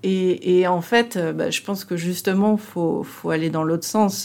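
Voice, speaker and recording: With a dark, mellow tone, a woman speaks with ordinary pitch variation. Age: 50s. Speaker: customer service director. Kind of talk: interview. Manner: halting.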